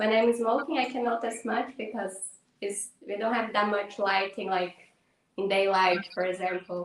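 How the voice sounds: A woman's medium-pitched voice at a moderate pace, with little pitch movement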